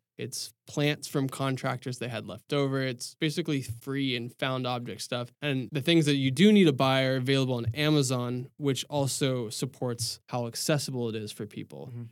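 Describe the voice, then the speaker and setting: With an American accent, the speaker has an unremarkable speaking voice, talking at a moderate pace with hardly any pauses and fairly even intonation. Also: man, medium pitch for a man. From Texas; Dallas, Texas. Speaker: landscape architect. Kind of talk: casual interview chat.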